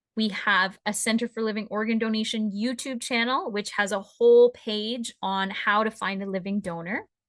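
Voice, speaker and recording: In a normal speaking voice, a woman with a fairly high pitch talks at a moderate pace with fairly even intonation and hardly any pauses. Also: quiet background. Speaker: transplant center presenter. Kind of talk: webinar presentation.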